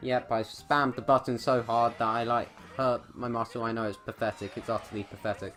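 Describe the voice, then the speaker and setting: The speech moves at a fairly quick pace, with music in the background. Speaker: gaming YouTuber. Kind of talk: game tutorial.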